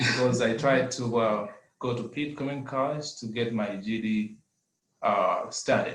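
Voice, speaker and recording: A man speaks in a Zambian accent at a medium pitch. His voice is somewhat breathy. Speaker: adult education student. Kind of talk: testimony. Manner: halting.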